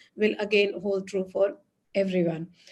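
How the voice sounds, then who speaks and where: At a moderate pace, the speaker uses an ordinary speaking voice. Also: woman. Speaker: astrologer. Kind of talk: online talk to live audience. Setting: live online session with chat.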